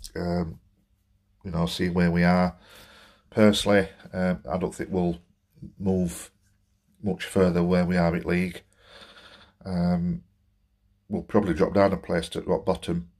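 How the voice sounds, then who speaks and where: Over a quiet background, a man with a very deep, low pitch talks fairly slowly in a monotone, flat way, leaving long, frequent pauses. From Barnsley, South Yorkshire. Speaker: football fan and gaming vlogger. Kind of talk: angry football rant vlog. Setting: solo home recording to camera. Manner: venting, exasperated, fed-up; rambling, hesitant with many fillers. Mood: frustrated, disappointed. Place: home room. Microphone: phone near.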